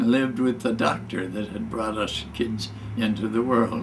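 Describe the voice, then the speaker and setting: A man talks with a Midwestern US accent. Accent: US Midwest. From Michigan. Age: 90s. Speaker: war veteran. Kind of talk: storytelling. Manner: halting.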